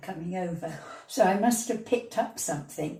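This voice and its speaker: A somewhat breathy woman's voice. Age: 80s+. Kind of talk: interview answer, life memories.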